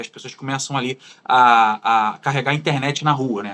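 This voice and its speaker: A man speaks with a Carioca accent. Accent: carioca accent, clear. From Brazil, Rio de Janeiro. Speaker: former far-right supporter turned critic. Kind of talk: interview.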